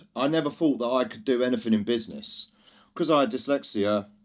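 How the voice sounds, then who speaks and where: Loud and with very wide pitch swings, a man with a London accent speaks at a medium pitch. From East London, England. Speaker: drinks brand founder. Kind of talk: podcast interview. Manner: energetic.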